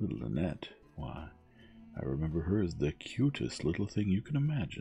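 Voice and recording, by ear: Putting on a character voice, a man talks low and dark with a mellow tone, a husky, rough edge, vocal fry and big pitch swings, while faint music plays in the background. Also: moderate pace.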